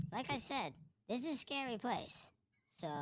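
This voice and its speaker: A put-on character voice, nervous in tone, with very wide pitch swings at a moderate pace. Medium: actual play. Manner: nervous, stammering.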